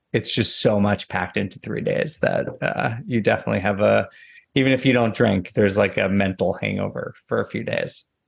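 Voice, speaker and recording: Spoken at a moderate pace in an American accent, the voice carries vocal fry and ordinary pitch variation. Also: man. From US Northeast. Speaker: real estate data analyst. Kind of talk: interview. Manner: casual.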